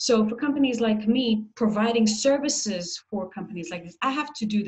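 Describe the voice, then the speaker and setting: Somewhat breathy, a woman speaks at a moderate pace in a fairly high pitch with ordinary pitch variation. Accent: American. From Israel. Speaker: marketing executive. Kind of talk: interview.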